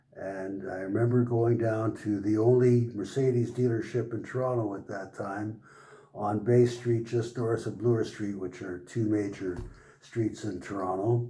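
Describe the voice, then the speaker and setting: Audible room echo surrounds a man's voice. He talks at a moderate pace with medium pitch and fairly even intonation. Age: 80s+. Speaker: car owner. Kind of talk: interview. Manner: halting.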